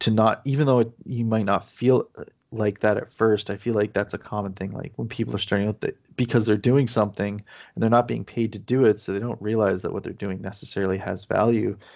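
A fairly low-pitched man at a fairly quick pace, with hardly any pauses, over a quiet background. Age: 30s. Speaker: indie game developer. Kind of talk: casual interview. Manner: hesitant, many fillers.

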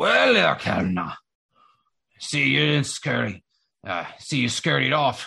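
A man in a raspy, put-on character voice talks at a fairly slow pace. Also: medium pitch for a man. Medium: actual play.

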